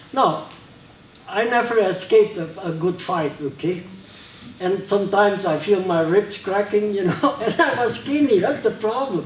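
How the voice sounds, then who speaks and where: A man's lively, high-pitched voice at a moderate pace, with noticeable background noise. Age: 70s. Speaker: martial arts master. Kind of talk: seminar talk; martial arts demonstration. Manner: casual, halting.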